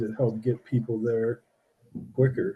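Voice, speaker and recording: With a dark, mellow, somewhat breathy tone, a man speaks at a moderate pace in a monotone, flat way. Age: 60s. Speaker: podcast host. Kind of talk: casual chat.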